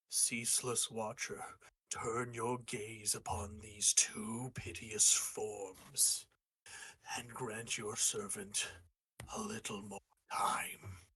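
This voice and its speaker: Putting on a character voice, a man speaks very slowly at a medium pitch. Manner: invoking, solemn.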